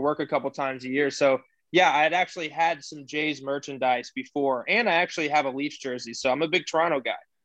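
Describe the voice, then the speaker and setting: Against a quiet background, a man with a fairly high pitch and an American accent talks at a fairly quick pace with fairly even intonation. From Houston, Texas. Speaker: podcast co-host. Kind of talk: casual chat.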